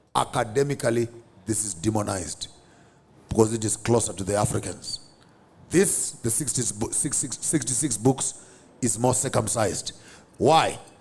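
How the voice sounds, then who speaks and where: A man with a Zimbabwean accent speaks somewhat breathily at medium pitch and a moderate pace, with ordinary pitch variation and long, frequent pauses. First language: Shona. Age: 50s. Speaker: theologian. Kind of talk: interview.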